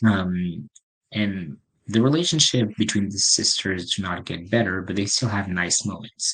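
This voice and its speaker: A man with a French accent at a fairly low pitch, speaking at a fairly slow pace with ordinary pitch variation. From France. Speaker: podcast host, film reviewer. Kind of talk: casual solo review podcast. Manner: hesitant, filler-heavy (um, uh).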